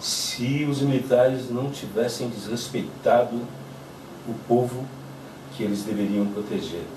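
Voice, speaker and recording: A man's medium-pitched voice at a fairly slow pace, with ordinary pitch variation, audible room echo and noticeable background noise. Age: 60s. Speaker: witness of the military dictatorship. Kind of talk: testimony. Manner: halting, with fillers.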